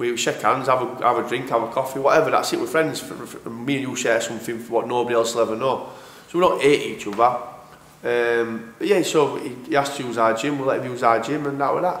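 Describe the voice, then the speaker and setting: In a Yorkshire accent, a man talks at a very fast pace with a medium pitch and fairly even intonation, amid audible room echo and noticeable background noise. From northern England, Sheffield. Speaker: professional boxer. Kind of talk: casual interview.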